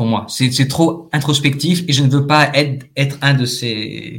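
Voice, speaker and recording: A man speaks at a very slow pace. Vocal fry runs through his voice. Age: 30s. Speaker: actor. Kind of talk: testimony. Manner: distinctive old-fashioned formal phrasing, like French New Wave films; halting, many fillers.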